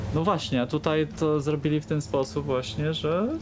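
Faint music plays in the background. The speaker has a Polish accent. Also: man. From Poland. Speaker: streamer. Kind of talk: casual chat. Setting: live stream. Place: home room. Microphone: studio mic.

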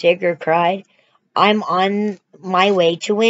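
The intonation stays fairly even in a natural reading voice. Nothing much is heard behind it.

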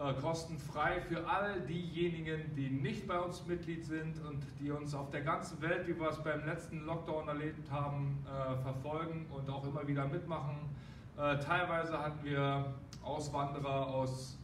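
With noticeable background noise behind him, a man speaks at a fairly slow pace in a monotone, flat intonation. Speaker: boxing gym trainer. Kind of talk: announcement to members. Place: gym. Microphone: camera far.

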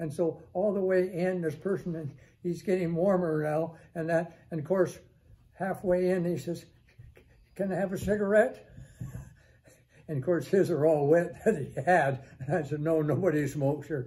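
A man with a high voice and a dark, mellow tone speaks at a moderate pace. His intonation stays fairly even, broken by long, frequent pauses. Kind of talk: storytelling talk. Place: office.

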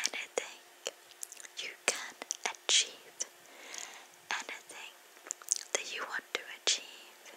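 A whispering voice with a gentle tone moves at a very slow pace. Long pauses come often. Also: woman. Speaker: ASMR creator. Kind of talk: ASMR positive affirmations to camera. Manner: soft, gentle, relaxing. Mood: warm, soothing. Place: home room. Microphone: studio mic.

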